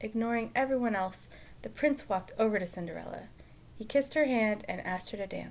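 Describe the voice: Simple, plain reading aloud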